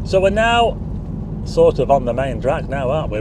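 Against loud background noise, a man speaks at a fairly slow pace in a dry sound with no echo. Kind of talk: casual driving commentary. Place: car. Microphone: phone near.

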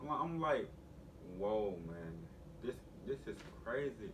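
A man with lively intonation amid noticeable background noise. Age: 20s. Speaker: YouTube vlogger. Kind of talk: casual vlog talk to camera. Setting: at home with family in background. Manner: animated. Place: home room. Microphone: camera far.

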